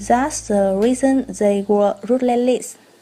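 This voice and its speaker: Very slowly, a woman speaks with a Vietnamese accent in a high-pitched voice with ordinary pitch variation. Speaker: student presenter. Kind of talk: scripted presentation.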